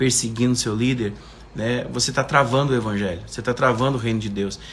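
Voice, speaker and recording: In a room with audible echo, a man with a medium-pitched, somewhat breathy voice talks at a fairly quick pace in a flat monotone. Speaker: preacher. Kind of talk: livestream sermon. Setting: live stream.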